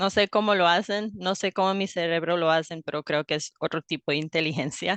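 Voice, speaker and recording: A woman with an ordinary speaking voice, fairly low pitch and ordinary pitch variation speaks at a moderate pace in a dry, close sound with no echo. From US, raised bilingual (father from Ohio, mother Colombian). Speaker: language teacher. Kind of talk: interview conversation.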